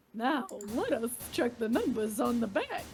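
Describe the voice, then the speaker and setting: A female-sounding voice puts on a high-pitched character voice at a moderate pace. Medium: game stream. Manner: showy, gleeful, mocking.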